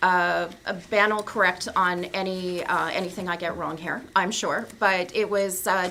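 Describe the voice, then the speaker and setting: Against audible room echo, a woman speaks at a fairly slow pace in a bright, sharp tone with monotone, flat intonation. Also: medium pitch for a woman. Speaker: library representative presenting to council. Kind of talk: council meeting presentation.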